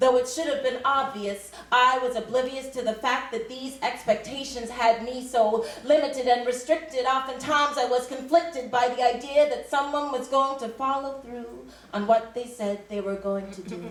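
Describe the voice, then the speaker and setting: A woman's high voice at a moderate pace, fairly even in intonation with hardly any pauses, over noticeable background noise. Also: big swings in loudness. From Canada. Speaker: spoken word poet. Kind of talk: spoken word poetry performance. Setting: live stage.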